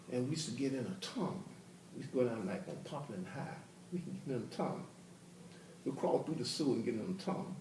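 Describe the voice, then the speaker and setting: A man with a fairly high pitch and lively intonation at a very fast pace, broken by long, frequent pauses, amid noticeable background noise and audible room echo. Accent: Memphis. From US South. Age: 60s. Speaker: educator. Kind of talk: casual chat.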